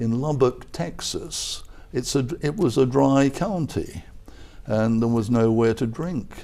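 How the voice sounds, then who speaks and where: A man with an English accent speaks at a fairly slow pace, his dark, mellow tone carried by lively intonation. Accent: English, somewhat milder. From southern England (Croydon, London). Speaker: retired professor and advertising executive. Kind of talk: interview. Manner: halting, many fillers.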